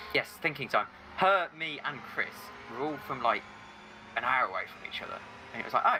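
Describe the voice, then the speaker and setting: Noticeable background noise sits behind a man with an English Midlands accent and a fairly high pitch. He talks at a fairly quick pace with lively intonation and long, frequent pauses. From England, Staffordshire. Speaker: sim racing commentator. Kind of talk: casual chat.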